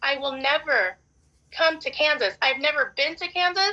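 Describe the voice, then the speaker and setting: The voice is raised and projected, with a bright, sharp tone. It moves at a moderate pace. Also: woman. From Arkansas. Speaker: respondent in court hearing. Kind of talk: court testimony.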